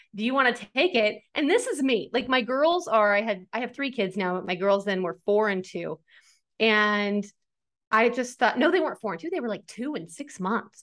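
An American accent at a moderate pace, with lively intonation over a quiet background. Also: woman, fairly high pitch for a woman. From rural US farm. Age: 40s. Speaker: author and website founder, former news anchor. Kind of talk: interview. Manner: talkative.

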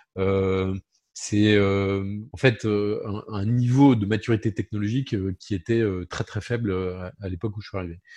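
A man's fairly low voice, dark and mellow in tone, moves with fairly even intonation over a quiet background. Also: fairly slow pace. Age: 50s. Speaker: insurance broker company president. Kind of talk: interview.

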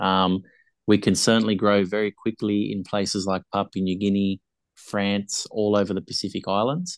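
Recorded dry and close with no echo against a quiet background, a man with an Australian accent speaks in a fairly low, monotone, flat voice at a moderate pace. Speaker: rugby league podcaster. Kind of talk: casual chat.

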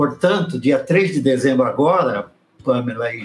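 Fairly slow and with ordinary pitch variation, a man talks in a normal speaking voice. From Brazil, São Paulo state (raised in São Paulo city). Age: 60s. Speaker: Baptist pastor. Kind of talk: casual interview.

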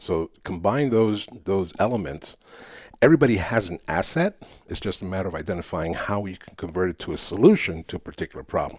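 With a Spanish accent, a man speaks at a very deep, low pitch and a fairly quick pace, his lively intonation paired with big swings in loudness, in a very clean recording with a silent background. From New York City. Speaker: public speaking coach. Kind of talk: interview.

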